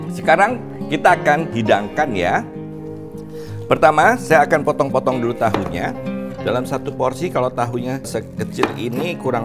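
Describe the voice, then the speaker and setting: Loud music plays in the background while the speaker keeps a moderate pace. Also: man. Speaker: cooking show host. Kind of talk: tutorial. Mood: cheerful, warm. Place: studio. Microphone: lapel.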